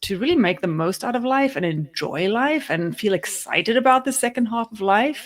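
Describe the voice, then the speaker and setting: The voice carries a South African accent. Its pace is moderate. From South Africa, Cape Town. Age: 40s. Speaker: podcast co-host. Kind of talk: casual chat.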